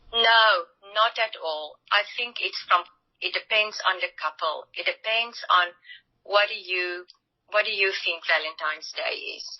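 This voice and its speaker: A woman with a non-native accent speaks at a medium pitch and a fairly slow pace, with ordinary pitch variation. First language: not English. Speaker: relationship coach. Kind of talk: interview.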